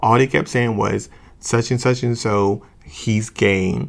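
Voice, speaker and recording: This man has a fairly low pitch and an American accent, and his intonation stays fairly even. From US, small town. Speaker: podcaster. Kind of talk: personal storytelling monologue. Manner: hesitant, filler-heavy.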